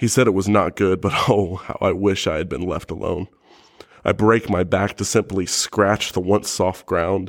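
Speaking at a moderate pace, a man with an unremarkable speaking voice keeps a fairly low pitch and fairly even intonation. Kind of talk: poetry performance. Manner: solemn, anguished.

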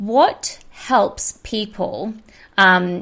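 This woman talks in a medium pitch, and her pitch varies in an ordinary way. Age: 30s. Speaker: podcast host and business coach. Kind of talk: casual interview chat. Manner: laughs often.

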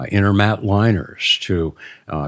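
In a very clean recording with a silent background, a man with a very deep, low voice speaks with ordinary pitch variation. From Maryland Eastern Shore, Dorchester County. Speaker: Native heritage interpreter and builder. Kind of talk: storytelling interview. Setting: in person, smoking a pipe. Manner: halting, many fillers.

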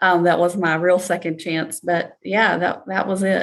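With fairly even intonation, a woman speaks at a fairly low pitch in an unremarkable speaking voice. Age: 40s. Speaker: podcast host. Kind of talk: casual interview chat.

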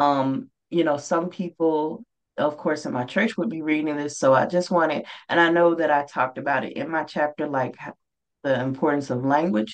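A woman with a Mississippi accent speaks at a moderate pace in a very deep, low voice, her pitch varying in an ordinary way. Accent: Southern US (Mississippi). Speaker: author. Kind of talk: interview.

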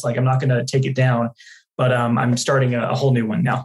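This man has an American accent. He talks very fast. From Dallas, Texas. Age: 20s. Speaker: customer success manager and podcaster. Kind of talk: casual interview.

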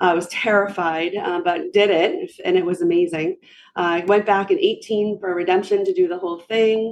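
Woman's voice at medium pitch, moderate pace, monotone and flat in intonation. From New Hampshire. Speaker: running group founder. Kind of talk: casual chat.

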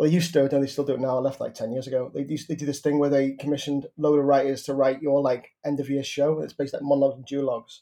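A man with a Liverpool accent, very fast and with hardly any pauses, fairly high in pitch, dark and mellow in tone, monotone and flat in intonation. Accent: Scouse. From Merseyside, northern England. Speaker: playwright. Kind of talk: interview. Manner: halting.

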